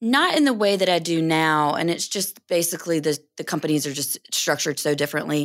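A woman with an American accent and an unremarkable speaking voice, fairly low-pitched, at a fairly quick pace with hardly any pauses and ordinary pitch variation, on a very clean recording with a silent background. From North Carolina. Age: 30s. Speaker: financial advisor and firm co-owner. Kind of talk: interview.

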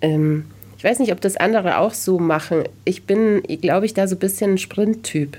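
Her voice is a woman's, medium in pitch with a dark, mellow tone and ordinary pitch variation. She keeps a moderate pace and very even loudness. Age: 40s. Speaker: journalist and podcast host. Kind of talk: casual interview chat.

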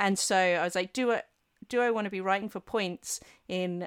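A woman talks in an English accent with ordinary pitch variation. The recording is very clean, with a silent background and a dry, close sound with no echo. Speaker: historian and author. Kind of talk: casual interview chat.

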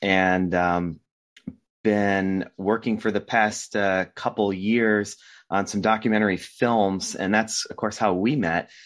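Against a quiet background, a man with an American accent speaks very slowly in a flat, monotone way at a fairly low pitch. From US Northeast, Rhode Island. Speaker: documentary filmmaker. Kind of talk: casual interview.

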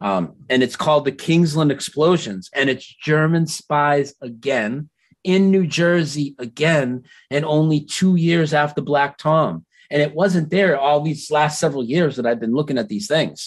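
A man's fairly high, normal speaking voice with ordinary pitch variation, a fairly slow pace and a quiet background. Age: 40s. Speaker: Mandela effect researcher. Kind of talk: casual chat.

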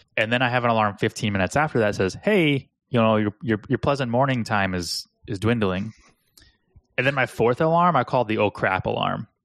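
Using a normal speaking voice, a man talks at a fairly quick pace and medium pitch with ordinary pitch variation, in a dry, close sound with no echo. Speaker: podcast co-host, agency owner. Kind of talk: casual chat.

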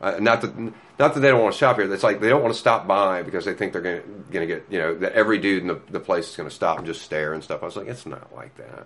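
At a very fast pace with hardly any pauses, a man speaks in a fairly low pitch with ordinary variation. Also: big swings in loudness. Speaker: comic shop manager. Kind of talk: casual interview. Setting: in a shop. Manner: animated.

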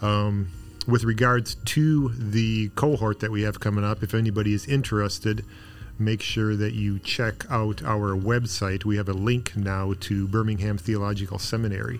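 This man has an unremarkable speaking voice, pitched fairly low. He talks at a moderate pace with fairly even intonation. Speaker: ministry president. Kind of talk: casual chat. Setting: studio.

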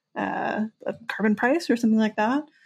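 Fairly high in pitch and somewhat breathy, a woman speaks with an American accent and ordinary pitch variation. The recording is very clean, with a silent background. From New Jersey. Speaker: podcast co-host. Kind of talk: casual chat.

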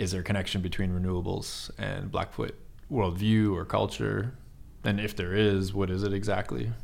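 A man's very deep, low voice with an Eastern Canadian accent. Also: ordinary pitch variation, moderate pace. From Eastern Canada. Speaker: podcast host. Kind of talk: casual interview conversation.

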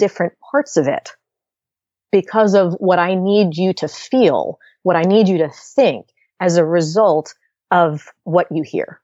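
A woman's ordinary speaking voice, medium in pitch, at a moderate pace with lively intonation. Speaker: leadership communication coach. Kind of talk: interview.

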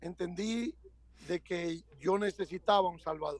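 A man speaks at a very slow pace with a high pitch and ordinary pitch variation. The sound is dry and close, with no echo. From Dominican Republic, Santo Domingo. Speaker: pastor and church planter. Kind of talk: interview.

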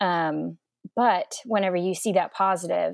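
A woman's unremarkable speaking voice with an American accent, at a fairly slow pace, in a dry, close sound with no echo. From Oklahoma, Edmond. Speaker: interior designer and pastor's wife. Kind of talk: casual interview, personal testimony.

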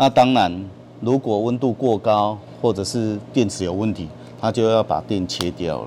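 His pitch is fairly low, with ordinary variation. The man keeps a moderate pace. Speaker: power company renewable energy manager. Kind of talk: on-site technical explanation.

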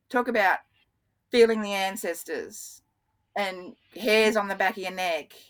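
A woman with an Australian accent at a medium pitch. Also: very clean recording, silent background. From Australia, Brisbane. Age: 50s. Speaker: water scientist. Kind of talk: interview. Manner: animated.

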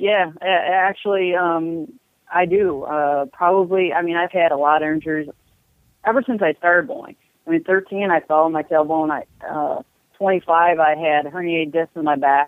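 This woman has an unremarkable speaking voice and an American accent, her pitch fairly low with ordinary variation. She talks at a moderate pace. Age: 40s. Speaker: professional bowler. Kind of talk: interview.

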